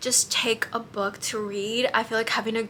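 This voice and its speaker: This woman speaks at a medium pitch with an American accent. Noticeable background noise runs behind her. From US, Mexican American. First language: Spanish. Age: 20s. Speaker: travel vlogger. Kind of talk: casual advice vlog. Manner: casual, many fillers.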